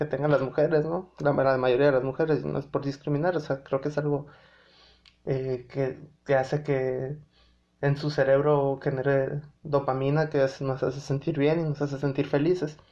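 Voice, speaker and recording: A man speaks at a moderate pace. His fairly high voice stays monotone and flat. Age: 20s. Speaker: podcast host. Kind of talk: casual monologue. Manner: halting, many fillers.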